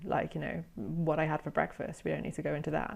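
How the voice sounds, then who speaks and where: A woman speaks in a British accent at a fairly quick pace. The background is quiet. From Britain. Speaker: former journalist, SEO content specialist. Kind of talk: interview conversation. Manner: hesitant, many fillers.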